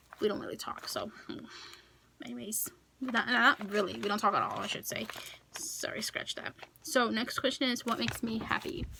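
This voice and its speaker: Noticeable background noise behind a woman with an American accent, her pace moderate. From Kosovo, left as a child. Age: 20s. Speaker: YouTuber. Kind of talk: casual Q&A vlog.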